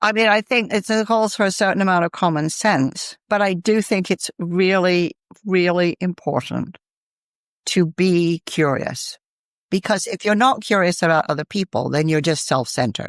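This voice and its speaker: A woman with an American accent speaks at a moderate pace and medium pitch, with ordinary pitch variation and very even loudness. The recording is very clean with a silent background and a dry, close sound with no echo. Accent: American accent, noticeable in Britain. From United States. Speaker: author and business executive. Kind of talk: podcast interview.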